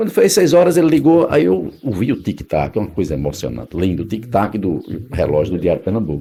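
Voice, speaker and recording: Talking fairly briskly, the speaker's pitch leaps very widely up and down. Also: man. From Northeast Brazil, Paraíba (Patos, Campina Grande). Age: 60s. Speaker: radio announcer. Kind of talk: oral history interview.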